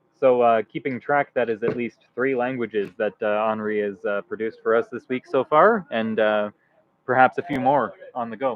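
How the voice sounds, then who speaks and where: A man with a Canadian accent speaks at a moderate pace and medium pitch. It is an ordinary speaking voice with fairly even intonation. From Canada. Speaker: livestream commentator. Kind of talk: live commentary.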